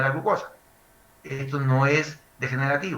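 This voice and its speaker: A man's fairly high voice is heard with audible room echo and noticeable background noise around it. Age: 60s. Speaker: medical lecturer. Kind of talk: lecture.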